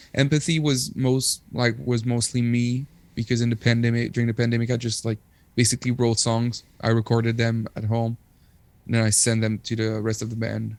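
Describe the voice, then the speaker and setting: Using a fairly quick pace, a man with a Quebec accent talks at medium pitch with fairly even intonation. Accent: Québécois French accent in English. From Quebec, Rimouski. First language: French. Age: 30s. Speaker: musician. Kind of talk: casual chat.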